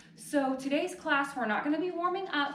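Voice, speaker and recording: Audible room echo colors this recording. The speaker is a woman. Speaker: yoga instructor. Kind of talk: fitness class instruction. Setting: home living room. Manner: casual, chatty with filler words.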